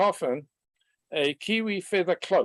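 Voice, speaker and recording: The speaker talks at a fairly slow pace with a New Zealand accent. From New Zealand, countryside. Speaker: webinar participant. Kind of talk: personal story in online discussion.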